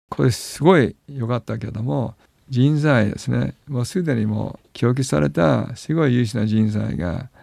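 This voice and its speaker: Speaking at a moderate pace, a man's dark, mellow voice moves through very wide pitch swings. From Hawaii, then American school in Japan. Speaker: business executive. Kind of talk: radio interview. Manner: frequent laughter.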